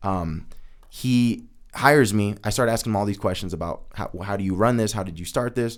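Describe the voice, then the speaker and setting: Speaking at a fairly quick pace, this is a plain, everyday voice with ordinary pitch variation. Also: man, fairly low pitch for a man. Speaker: podcast co-host and entrepreneur. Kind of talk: casual chat, personal storytelling. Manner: casual, filler-heavy.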